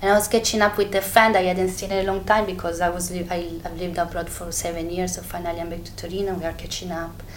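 Room echo can be heard around a woman's voice, along with clearly audible background noise. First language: Italian (speaking French). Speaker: fashion designer. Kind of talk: interview testimony. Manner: halting.

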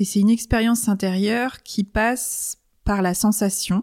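The recording is very clean, with a silent background and a dry, close sound with no echo. A woman speaks at medium pitch with a dark, mellow tone and fairly even intonation. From Brittany, France. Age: 40s. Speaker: coach. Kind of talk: casual chat. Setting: living room. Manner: hesitant.

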